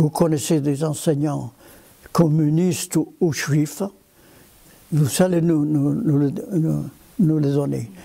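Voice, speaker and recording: Speaking at a very slow pace, a man uses a dark, mellow tone with long, frequent pauses. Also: ordinary pitch variation. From Spain. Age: 90s. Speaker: former potter, resistance fighter and village mayor. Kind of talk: interview answer, recounting wartime memories. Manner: hesitant, with frequent repetitions.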